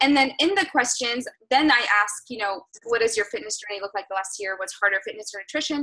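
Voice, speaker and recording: Her intonation is lively and her pace fairly quick. The woman's tone comes across bright and sharp. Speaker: fitness business coach. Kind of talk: team call coaching talk. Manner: fast.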